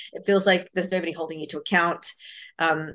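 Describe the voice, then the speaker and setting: A woman with a fairly low pitch, with an Australian accent. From Australia, western Sydney. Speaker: debut novelist. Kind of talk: interview conversation. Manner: halting, many fillers and repetitions.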